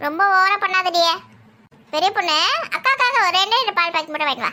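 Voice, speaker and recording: A woman puts on a squeaky, cartoonish character voice at an extremely high pitch for a woman. She keeps a moderate pace with lively intonation and very even loudness. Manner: chatty, familiar, wheedling.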